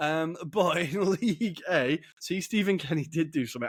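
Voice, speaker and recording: With an English accent, a man speaks at a moderate pace against noticeable background noise. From England. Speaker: football podcast host. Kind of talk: casual chat.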